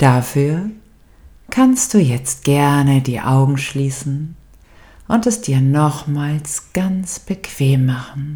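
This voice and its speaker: Very slowly, a woman speaks in a very deep, low, somewhat breathy voice with a dark, mellow tone. Her tone is calm and soothing, with ordinary pitch variation. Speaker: meditation guide. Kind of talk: guided meditation. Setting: studio with background music. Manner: slow, calm and soothing, with long pauses; soft, gentle and warm, intimate.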